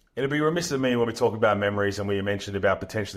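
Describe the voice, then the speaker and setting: Someone with an Australian accent speaks with ordinary pitch variation against a quiet background. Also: man. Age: 30s. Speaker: podcast host, former basketball player. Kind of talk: interview.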